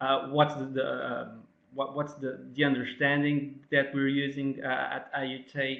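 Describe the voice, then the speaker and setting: A man with a non-native accent, fairly high in pitch and fairly quick in pace. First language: not English. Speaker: academic presenter. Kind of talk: webinar presentation. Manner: halting, many fillers.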